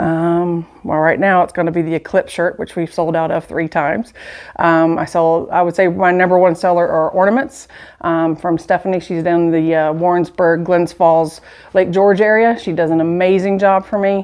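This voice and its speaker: A woman's flat, monotone delivery at a moderate pace, with a Southern US accent. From US South, Dothan, Alabama. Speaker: shop owner. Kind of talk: casual interview. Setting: in a shop.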